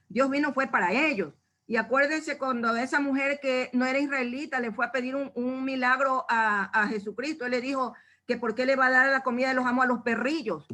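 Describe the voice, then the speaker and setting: Raising and projecting her high, bright, sharp voice, a woman speaks at a fairly quick pace with ordinary pitch variation. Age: 70s. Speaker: church member giving Bible study. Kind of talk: Bible study talk.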